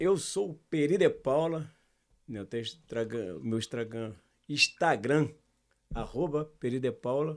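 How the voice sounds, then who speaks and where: A man with a fairly high pitch speaks at a fairly slow pace. His intonation is lively, broken by long, frequent pauses. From Brazil, Rio de Janeiro (Jardim Botânico). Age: 60s. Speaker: samba singer and songwriter. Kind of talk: casual interview chat.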